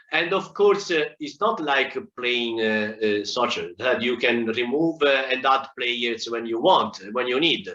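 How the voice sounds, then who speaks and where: Here a man with a medium pitch talks at a fairly slow pace with hardly any pauses. His intonation is lively. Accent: Italian. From Italy. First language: Italian. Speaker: agile consultant speaker. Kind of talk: conference talk. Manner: halting, many fillers.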